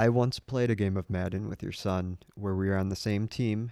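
Recorded with a dry, close sound with no echo, a man with a normal speaking voice talks at a fairly low pitch with fairly even intonation. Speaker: sports podcast co-host. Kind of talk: casual chat.

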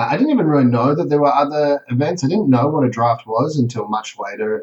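With an Australian accent, a man speaks in lively intonation. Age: 30s. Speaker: competitive card game player. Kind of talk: casual interview.

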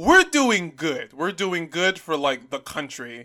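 The voice has a bright, sharp tone and ordinary pitch variation. It moves at a fairly slow pace. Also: man. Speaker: podcast co-host. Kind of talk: casual chat. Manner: loud.

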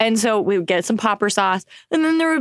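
With an American accent, a woman speaks with very wide pitch swings in a dry, close recording with no echo. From Oklahoma. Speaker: jazz singer, actress and voiceover artist. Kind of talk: casual chat.

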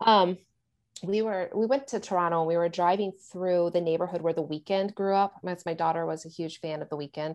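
Speaking at a fairly quick pace, a woman with a fairly low pitch has a plain, everyday voice and ordinary pitch variation. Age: 40s. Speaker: thriller author. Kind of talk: casual chat.

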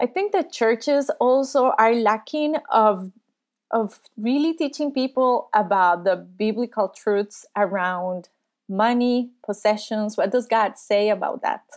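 A woman with a Spanish accent, fairly high-pitched, at a fairly slow pace, with ordinary pitch variation and very even loudness, on a very clean recording with a silent background. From Costa Rica. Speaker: youth ministry worker and psychologist. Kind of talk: interview.

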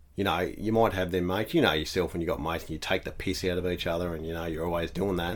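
Very deep and low, a man's voice races at a very fast pace with hardly any pauses and fairly even intonation. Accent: Australian. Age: 30s. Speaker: house painter. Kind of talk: casual chat.

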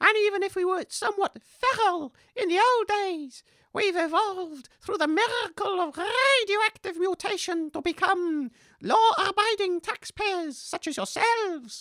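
A put-on character voice speaks at an extremely high pitch. The pace is moderate. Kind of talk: comic character acting. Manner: indignant, defensive, huffy.

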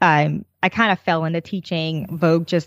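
A woman with a normal speaking voice, fairly low in pitch and fairly quick, on a very clean, dry, close recording with no echo and a silent background. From New Jersey. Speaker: knitting designer and teacher. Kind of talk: casual interview.

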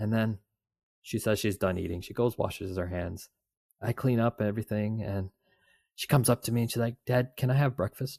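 A man speaks fairly quickly at a medium pitch, with a dark, mellow, somewhat breathy tone and fairly even intonation. The sound is dry and close with no echo, on a very clean recording with a silent background. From Canada. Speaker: podcast co-host, father. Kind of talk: casual chat.

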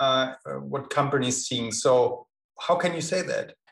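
Here a man speaks with a German accent at a moderate pace. His voice is somewhat breathy. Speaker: podcast host. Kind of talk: casual interview conversation.

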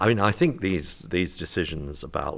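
At a fairly quick pace, the speech carries ordinary pitch variation. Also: man. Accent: British. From UK. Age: 60s. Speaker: retired family doctor. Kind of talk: panel discussion. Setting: conference.

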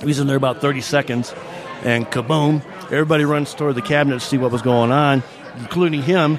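Over noticeable background noise, a man with a fairly high pitch speaks at a very fast pace with very even loudness. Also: fairly even intonation. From Michigan. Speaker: local historian and author. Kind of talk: casual interview. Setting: restaurant saloon.

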